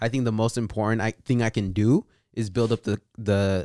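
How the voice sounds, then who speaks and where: A man with a medium pitch speaks at a moderate pace on a very clean recording with a silent background and a dry, close sound with no echo. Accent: Californian. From California, Bay Area and Central Valley. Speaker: marketing team member, guest. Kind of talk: casual chat.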